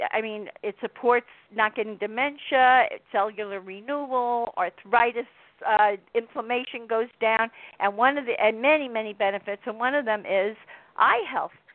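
A woman with an American accent speaks in a normal speaking voice at a moderate pace. Her pitch is fairly high and her intonation fairly even. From Miami, Florida. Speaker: author. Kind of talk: interview about her book.

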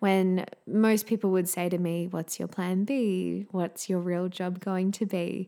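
A woman with an Australian accent speaks at a fairly slow pace with hardly any pauses, her dark, mellow tone sitting at a medium pitch with fairly even intonation, captured in a very clean recording against a silent background. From Queensland, Australia. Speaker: podcast host, singer and music teacher. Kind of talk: solo podcast introduction, warm and personal.

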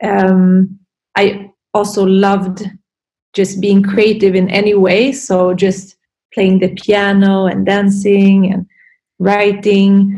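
A woman speaks at a very slow pace with long, frequent pauses and monotone, flat intonation. Her medium-pitched voice has a dark, mellow tone and is somewhat breathy. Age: 30s. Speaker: yoga and meditation teacher, Reiki practitioner. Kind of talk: interview conversation.

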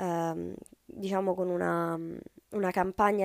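A woman at a fairly low pitch, in a very clean, dry recording with a silent background and a close sound with no echo. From Rome, Italy. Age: 20s. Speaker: startup founder. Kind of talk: podcast interview monologue.

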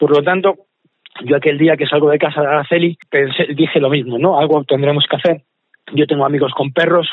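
A man speaks at a fairly quick pace with monotone, flat intonation. His loudness stays very even. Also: fairly high pitch for a man. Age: 40s. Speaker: charity event organizer. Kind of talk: interview.

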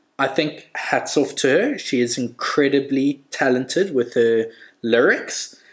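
Speaking at a fairly slow pace, a man with a plain, everyday voice talks at medium pitch with fairly even intonation. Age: 30s. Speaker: podcast guest, host's husband. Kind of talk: casual chat.

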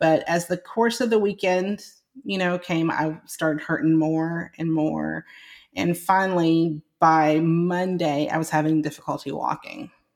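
Recorded very cleanly against a silent background, a woman speaks at a fairly slow pace with a fairly low pitch and ordinary pitch variation. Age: 40s. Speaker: nurse practitioner and health coach. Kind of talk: interview testimony. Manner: halting, many repetitions.

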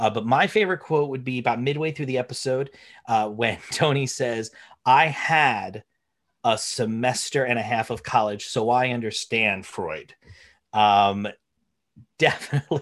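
A man talks in a New Jersey accent with ordinary pitch variation. The recording is very clean, with a silent background. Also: medium pitch for a man, moderate pace. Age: 30s. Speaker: podcast host, English teacher. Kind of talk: casual chat.

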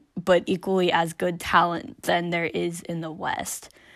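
Very slowly and with flat, monotone intonation, a woman speaks in a fairly low voice. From rural US small town. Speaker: podcast host. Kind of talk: personal monologue. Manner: halting.

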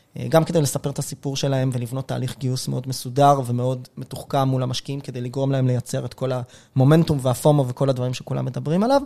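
Very fast with hardly any pauses, a man speaks at a medium pitch in a dark, mellow tone with monotone, flat intonation. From Israel, Rishon LeZion. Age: 30s. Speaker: venture investor and podcaster. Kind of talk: interview.

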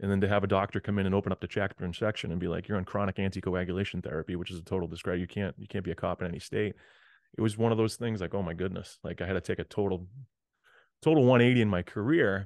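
A man with an American accent talks very fast in a fairly low pitch, his pitch varying in an ordinary way, with a dry, close sound free of echo and a quiet background. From Massachusetts, north of Boston. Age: 40s. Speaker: motivational speaker and educator. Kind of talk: interview storytelling.

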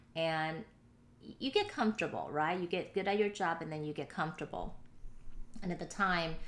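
At a moderate pace, a woman speaks in an ordinary speaking voice with ordinary pitch variation. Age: 30s. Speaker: nonprofit president and CEO. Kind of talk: interview testimony.

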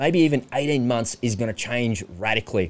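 A man talks with an Australian accent. The recording is very clean, with a silent background. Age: 40s. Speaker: podcast host. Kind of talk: solo monologue. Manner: animated.

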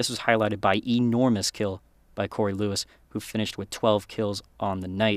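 Energetic and dramatic, a man speaks at a fairly quick pace with fairly low pitch. The recording is very clean, with a silent background and a dry, close sound with no echo. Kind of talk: sports news recap, scripted-style play-by-play narration. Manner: brisk, energetic, dramatic.

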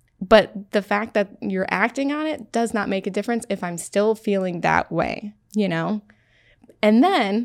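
A plain, everyday voice with an American accent, ordinary pitch variation and a moderate pace. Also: woman. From Syracuse, New York. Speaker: podcast guest. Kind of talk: casual interview. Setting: studio.

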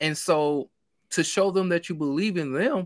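In a very clean recording with a silent background and a dry, close sound with no echo, a man speaks with a Mississippi accent, a fairly high pitch and ordinary pitch variation. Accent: Southern US (Mississippi). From Mississippi, US South. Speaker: sports podcaster and YouTuber. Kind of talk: casual sports chat.

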